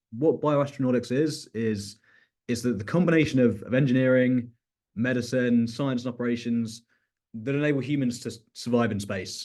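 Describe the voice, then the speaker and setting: In a British accent, a man speaks at medium pitch with ordinary pitch variation. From UK. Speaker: researcher. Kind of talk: research talk. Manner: halting, many fillers and repetitions.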